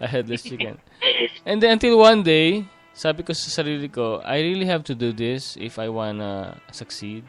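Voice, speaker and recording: Music in the background behind a man with a fairly high voice, very wide pitch swings, big swings in loudness and a moderate pace. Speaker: podcast host. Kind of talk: casual chat. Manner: halting.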